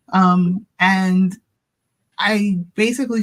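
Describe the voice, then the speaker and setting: In a Baltimore accent, a woman speaks in a fairly low, somewhat breathy voice with fairly even intonation. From US, Baltimore, Maryland. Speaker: tax professional. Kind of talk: interview.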